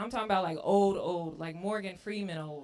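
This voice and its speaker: A woman speaks at a medium pitch. Noticeable background noise and audible room echo fill the recording. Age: 30s. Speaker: stand-up comedian. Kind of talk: stand-up. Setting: stage with audience.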